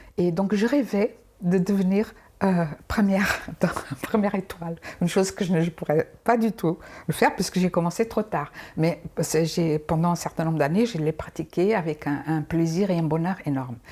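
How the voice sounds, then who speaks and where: A woman's dark, mellow tone with ordinary pitch variation at a moderate pace. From Angola. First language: Portuguese (speaking French). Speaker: dancer and cancer survivor. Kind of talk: interview testimony. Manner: halting, many repetitions; sing-song intonation.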